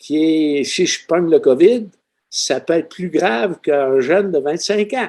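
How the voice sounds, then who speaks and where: At a very slow pace, a man speaks with a fairly high pitch and lively intonation. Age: 70s. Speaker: retired seismologist. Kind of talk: podcast interview.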